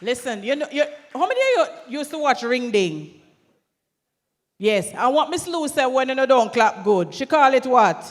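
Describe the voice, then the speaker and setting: In a very clean recording with a silent background, a woman with a high pitch and a Jamaican accent speaks at a moderate pace with lively intonation. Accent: Jamaican, with patois. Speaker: event emcee. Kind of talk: event hosting. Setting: stage at conference with audience. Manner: lively, engaging the crowd.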